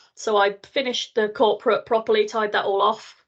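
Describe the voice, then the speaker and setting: With an ordinary speaking voice, a woman talks at a fairly quick pace and fairly high pitch against a quiet background. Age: 40s. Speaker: business owner, virtual assistant service founder. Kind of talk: interview answer.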